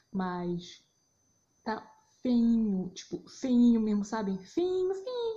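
A woman with a somewhat breathy, dark, mellow tone speaks in a medium pitch with very wide pitch swings. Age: 20s. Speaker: podcaster, journalist. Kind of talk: casual solo monologue. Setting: at home, recording on phone at 4am. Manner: unscripted, rambling. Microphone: phone recording.

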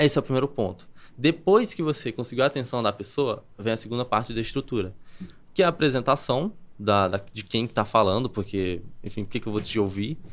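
On a very clean recording with a silent background, a man speaks fairly quickly. He has an unremarkable speaking voice, medium in pitch, with ordinary pitch variation. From Brazil, Campina Grande, Paraíba. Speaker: copywriter. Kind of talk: podcast interview.

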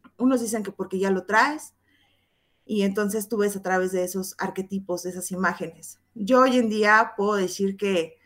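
A woman talks in a normal speaking voice at a moderate pace, with medium pitch and fairly even intonation. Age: 30s. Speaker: tarot reader and teacher. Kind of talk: interview explaining tarot.

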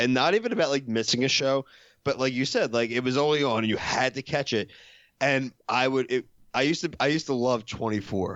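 A man speaks fairly quickly in an unremarkable speaking voice, with medium pitch, ordinary pitch variation and very even loudness. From Philadelphia, US. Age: 30s. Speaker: podcaster. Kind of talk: casual chat.

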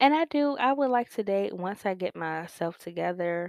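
On a very clean recording with a silent background and a dry, close sound without echo, a woman speaks at a medium pitch with lively intonation. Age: 20s. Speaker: podcast host. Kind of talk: casual monologue. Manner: casual, hesitant with many fillers.

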